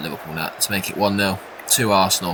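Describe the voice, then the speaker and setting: A man with an English accent speaks over noticeable background noise. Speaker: gaming YouTuber. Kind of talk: video game commentary. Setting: home recording at night. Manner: quiet.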